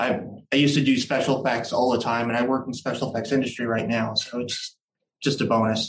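A man talking at a very fast pace in a monotone, flat intonation. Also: medium pitch for a man. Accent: American. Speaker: musician in a tribute band. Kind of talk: casual interview.

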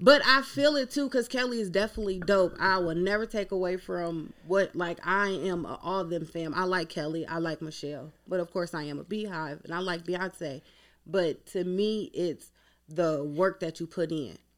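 A woman with an American accent, fairly low in pitch, at a moderate pace with lively intonation. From northern Ohio. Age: 30s. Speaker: entrepreneur and dancer. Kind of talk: casual chat.

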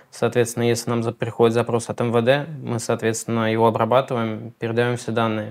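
Speaking at a very fast pace with hardly any pauses, a man holds a medium pitch in a monotone, flat delivery. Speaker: hosting company marketer. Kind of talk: interview.

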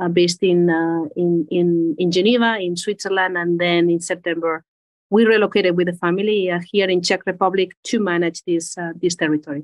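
A woman speaks with a Spanish accent at a fairly low pitch. Her pace is fairly quick and her intonation is flat and monotone. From Spain. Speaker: agribusiness executive. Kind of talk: interview.

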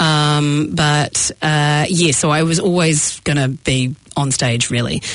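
A woman's very deep, low voice with a New Zealand accent. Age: 40s. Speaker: comedian and actor. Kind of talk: casual chat. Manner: animated.

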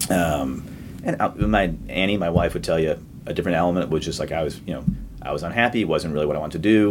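Very deep male voice with an American accent, lively intonation and a very fast pace, over noticeable background noise. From Boston area, Massachusetts. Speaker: distillery founder. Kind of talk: interview.

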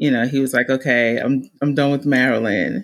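A woman with an extremely low pitch speaks in a New Jersey accent. Her intonation is fairly even and her pace moderate.

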